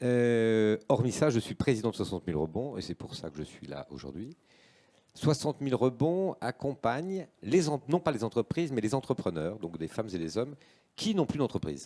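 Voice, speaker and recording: Over a silent background in a very clean recording, a man speaks in a dark, mellow tone at medium pitch. He keeps a moderate pace, with very wide pitch swings. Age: 60s. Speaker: association president and entrepreneur. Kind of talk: live panel talk. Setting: live-streamed panel on set.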